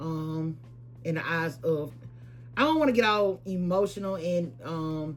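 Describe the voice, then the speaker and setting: With music in the background, a woman talks at a fairly slow pace with ordinary pitch variation. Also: fairly low pitch for a woman. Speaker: lifestyle and shopping vlogger. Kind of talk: casual vlog talk to camera. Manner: hesitant, many fillers and repeats.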